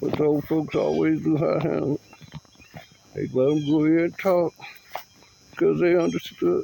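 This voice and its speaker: A man with an American accent talks at a moderate pace, leaving long, frequent pauses. Background noise is noticeable. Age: 60s. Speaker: vlogger. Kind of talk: personal monologue.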